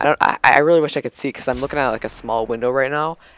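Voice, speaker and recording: Very fast talk from a medium-pitched man over music in the background. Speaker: gaming YouTuber. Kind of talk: gameplay commentary. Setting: at a friend's house. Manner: loud; casual, animated.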